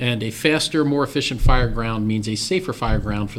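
Against noticeable background noise, a man with an American accent talks very fast. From Maryland, western Carroll County. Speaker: county fire chief. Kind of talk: interview.

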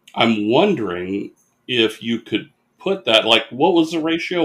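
Speaking at a fairly slow pace, a man uses vocal fry and very wide swings in pitch. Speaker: podcast co-host. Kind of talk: casual chat. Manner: joking, laughs often.

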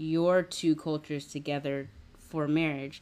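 In a General American accent, the speaker talks at a very slow pace with monotone, flat intonation. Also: woman. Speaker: podcast host. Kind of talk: casual interview chat. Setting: video call.

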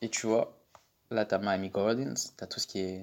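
A man with a fairly low pitch at a moderate pace, on a very clean recording with a silent background. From Paris suburbs, Val-d'Oise. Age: 20s. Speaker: student. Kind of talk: casual chat. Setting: socio-cultural centre room. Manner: halting.

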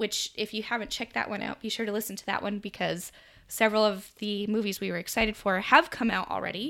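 Talking at a very fast pace, a woman with a General American accent has a bright, sharp tone, vocal fry, and fairly even intonation. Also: medium pitch for a woman. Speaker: podcast host. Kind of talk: casual chat.

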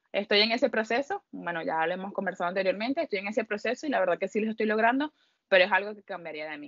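A woman speaks at a very fast pace with a medium pitch. Her intonation is lively, and her loudness swings widely. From Venezuela. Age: 30s. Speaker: audiovisual communicator. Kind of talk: casual interview.

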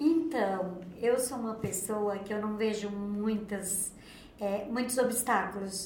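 A woman talks at a very slow pace with fairly even intonation. Audible room echo and noticeable background noise surround her voice. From Santa Catarina, Brazil (Rio do Campo). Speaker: hair salon owner. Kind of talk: casual interview.

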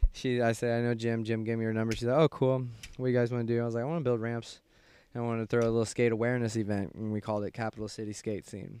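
A man with a Midwestern American accent speaks at a very fast pace in a medium pitch, his dark, mellow tone held in a monotone, flat intonation. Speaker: guest. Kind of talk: casual chat.

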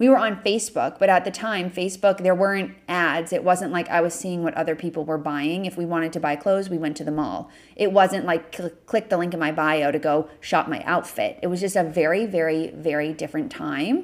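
A woman with an ordinary speaking voice talks at a fairly quick pace with hardly any pauses, her fairly low pitch showing ordinary variation, on a very clean recording with a silent background. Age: 20s. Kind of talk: solo Q&A podcast monologue.

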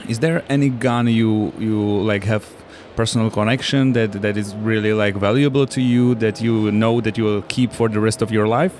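Against noticeable background noise, a man talks at a moderate pace in a medium pitch, his intonation fairly even and his loudness very even. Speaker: podcast co-host. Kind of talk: casual interview. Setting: trade fair booth.

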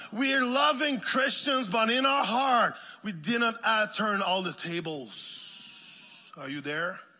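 With music in the background, the speaker uses a raised, projected voice in a French Canadian accent, going very slowly as the pitch swings very widely. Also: man, high pitch for a man. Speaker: guest minister. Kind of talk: sermon. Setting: church. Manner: animated.

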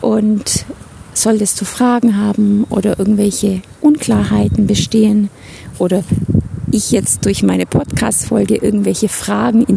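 Noticeable background noise sits behind the voice. The delivery runs at a fairly slow pace. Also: woman. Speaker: life coach. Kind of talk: podcast monologue. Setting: outdoors, walking in a forest.

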